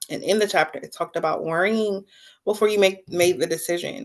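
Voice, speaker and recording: Moving at a fairly quick pace, a woman has an ordinary speaking voice with ordinary pitch variation. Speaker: book-talk livestream host. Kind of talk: casual livestream monologue. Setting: live stream with chat.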